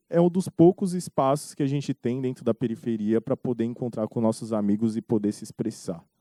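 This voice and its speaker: A man's dark, mellow voice with very wide pitch swings at a fairly quick pace, dry and close with no echo against a quiet background. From São Paulo city periphery, Brazil. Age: 20s. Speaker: documentary director. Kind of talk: festival panel discussion.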